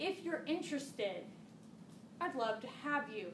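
There is noticeable background noise behind this speaker. A woman talks at a moderate pace. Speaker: marketing trainer. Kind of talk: workshop presentation. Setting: stage with audience. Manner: animated.

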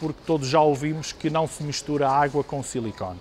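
A man speaks with a fairly high pitch at a moderate pace. Light background noise is present. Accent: European Portuguese. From Portugal. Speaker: product representative. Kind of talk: product demonstration. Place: shop. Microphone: lapel.

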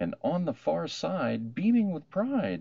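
With vocal fry and very wide pitch swings, a man talks at a slow pace in a slightly mellow tone.

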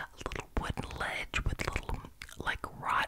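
A woman whispers, soft-spoken throughout. Noticeable background noise sits behind her. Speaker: ASMR creator. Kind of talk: soft show-and-tell ASMR chat. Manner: soft close-mic whispered ramble. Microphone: studio mic.

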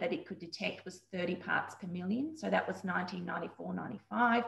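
A woman at a fairly slow pace with ordinary pitch variation, audible room echo and a quiet background. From Queensland, Australia. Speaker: dietitian. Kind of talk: interview. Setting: video call. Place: home room. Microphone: video call.

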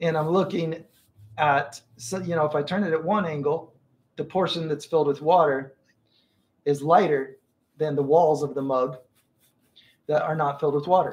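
A man speaks at a moderate pace, somewhat breathy. His intonation stays fairly even. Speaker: art teacher. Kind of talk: live stream tutorial chat. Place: home room. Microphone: earbuds.

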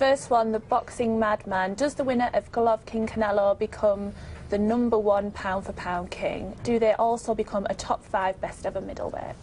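With fairly even intonation, a woman's somewhat breathy, fairly high voice keeps a moderate pace. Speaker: sports podcast host. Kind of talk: casual chat. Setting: studio.

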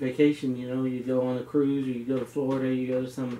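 A man's voice comes with light background noise and audible room echo. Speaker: home bartender vlogger. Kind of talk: casual vlog chat. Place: home room. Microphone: camera far.

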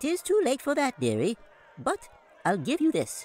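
Putting on a squeaky character voice, a man talks at a moderate pace in an extremely high pitch. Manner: old-fashioned, cajoling.

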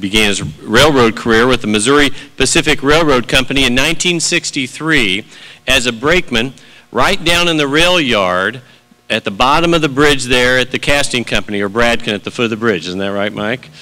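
A man's medium-pitched voice with lively intonation, an ordinary speaking voice. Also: moderate pace. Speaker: college president and event emcee. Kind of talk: formal introductions. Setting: stage with audience. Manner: formal.

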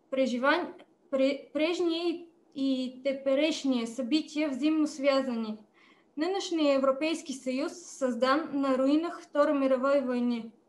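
With a Bulgarian accent, a woman talks at a very slow pace in a high pitch with fairly even intonation. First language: Bulgarian (speaking Russian). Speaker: politician. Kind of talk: prepared speech. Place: home room. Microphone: video call.

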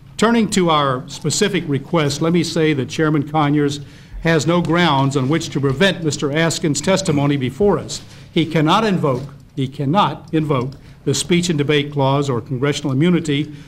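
A man speaks in a somewhat breathy voice. His pace is moderate and his pitch variation ordinary. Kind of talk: formal statement at hearing. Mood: firm, argumentative. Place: hall. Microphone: podium.

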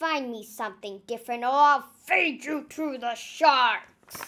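Growling in a put-on character voice, a woman speaks at a high pitch and a fairly slow pace. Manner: snarling, gruff, threatening.

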